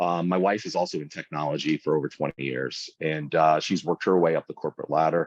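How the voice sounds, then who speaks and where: Very deep and low in pitch, a man speaks at a very fast pace with hardly any pauses. His intonation is fairly even, and his voice has vocal fry. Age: 40s. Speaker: food content creator and small business owner. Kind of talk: casual interview chat.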